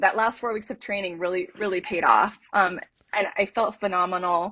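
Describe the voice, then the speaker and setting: A woman speaks at a moderate pace with a medium pitch and an American accent. Her pitch rises and falls in an ordinary way. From California. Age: 50s. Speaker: hiker. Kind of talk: interview storytelling. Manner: hesitant fillers.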